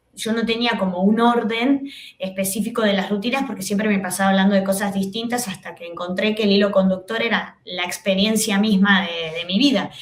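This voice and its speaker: At a fairly quick pace with hardly any pauses, a woman speaks in a medium pitch with fairly even intonation, heard with audible room echo and noticeable background noise. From Argentina. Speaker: comedian and TV host. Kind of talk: podcast interview. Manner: halting with many fillers.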